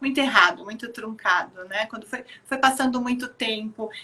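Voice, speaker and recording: A woman talks at a moderate pace with fairly even intonation. She has an ordinary speaking voice. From Rio Grande do Sul, southern Brazil. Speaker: children's activity program organizer. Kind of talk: live video chat interview. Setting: online live stream.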